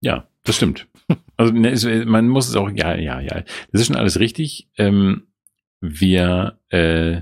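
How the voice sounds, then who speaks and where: A man speaks at a fairly slow pace with vocal fry. His intonation is lively. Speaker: podcast co-host. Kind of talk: casual chat.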